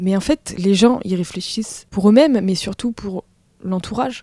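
A woman speaks at a fairly slow pace with a somewhat breathy, dark and mellow tone, a medium pitch, and ordinary pitch variation, recorded dry and close with no echo. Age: 20s. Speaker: audiovisual worker. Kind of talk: casual chat. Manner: halting.

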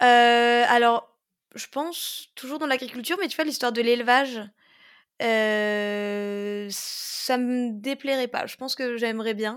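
A woman's high-pitched voice, very slow in pace, with ordinary pitch variation, on a very clean recording with a silent background. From Moselle, France (Pange, near Metz). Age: 20s. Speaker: organic market gardener. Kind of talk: casual interview. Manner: cheerful, energetic.

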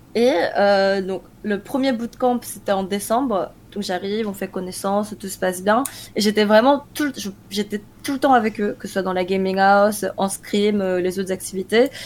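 Speaking in a plain, everyday voice, a woman holds a medium pitch at a moderate pace with fairly even intonation. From France, Korean-born. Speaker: esports team manager and analyst. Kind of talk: interview.

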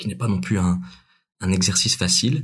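Audible room echo surrounds a man with a very deep, low pitch who sounds somewhat breathy at a moderate pace. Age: 20s. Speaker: amateur actor and writer. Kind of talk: casual interview.

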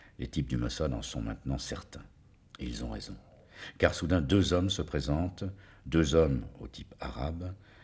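A man speaks at a moderate pace with a very deep, low pitch and vocal fry. His intonation is lively. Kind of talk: true-crime narration, gripping storytelling of a assassination. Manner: measured, suspenseful, building tension with short clipped sentences.

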